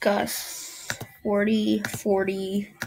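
A woman speaks over light background noise. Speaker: gaming youtuber. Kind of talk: gameplay commentary; casual gameplay commentary. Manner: animated; loud. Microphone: webcam.

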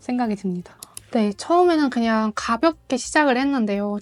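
A woman speaks with a Mongolian accent while music plays in the background. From Mongolia, Ulaanbaatar. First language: Mongolian (speaking Korean). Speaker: freelance interpreter. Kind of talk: interview.

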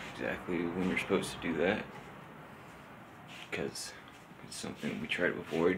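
A man with a very deep, low voice speaks with fairly even intonation over noticeable background noise. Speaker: vlogger. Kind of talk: reflective casual vlog monologue. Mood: pensive, subdued. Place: home room. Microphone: phone near.

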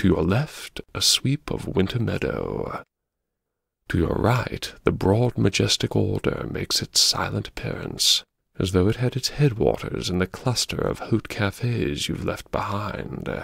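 Over a very clean recording with a silent background and a dry, close sound with no echo, a man with a fairly low pitch and vocal fry speaks at a fairly slow pace in a theatrical, weary tone with lively intonation. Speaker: audiobook narrator. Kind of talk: scripted first-person audiobook narration, dramatic and darkly witty. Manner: wry, theatrical, ironic, posh and world-weary; dramatic, slow-building narration with sighs and laughs.

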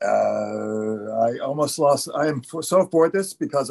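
A man's voice over a quiet background. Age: 60s. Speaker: community member giving public comment; public commenter at a community board meeting. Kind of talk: public comment at online meeting; public comment testimony. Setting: online video meeting. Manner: halting, many fillers and repetitions. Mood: upset, emotional, halting. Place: home room. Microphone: video call.

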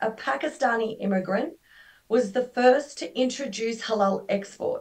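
A woman with an Australian accent speaks with ordinary pitch variation against a quiet background. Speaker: halal certification expert; guest lecturer. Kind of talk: webinar lecture. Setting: video call. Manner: conversational, many fillers. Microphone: video call.

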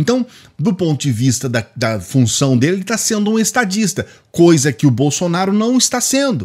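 Against a quiet background, a man with a Brazilian accent and a high voice speaks at a moderate pace with very wide pitch swings. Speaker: YouTube political commentator. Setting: home video studio, direct to camera. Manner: indignant, heated and emphatic, with harsh, accusatory delivery; forceful, hammering conclusions, charged with contempt. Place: home room. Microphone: studio mic.

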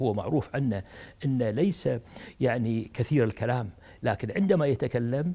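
With a dark, mellow tone, a man speaks with ordinary pitch variation. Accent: Kuwaiti. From Kuwait. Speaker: retired diplomat; interviewee. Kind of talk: interview. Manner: halting. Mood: warm, admiring. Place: home room. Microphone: lapel.

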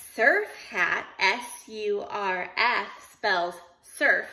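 A woman's voice has a bright, sharp tone. Her pitch variation is ordinary. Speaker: teacher. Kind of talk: playful lesson talk to children. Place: kitchen. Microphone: phone near.

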